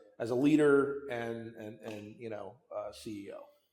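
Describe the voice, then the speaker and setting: A man at a moderate pace, with audible room echo. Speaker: company CEO. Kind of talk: interview conversation. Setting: winery barrel room. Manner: loud; repetitive, halting restarts.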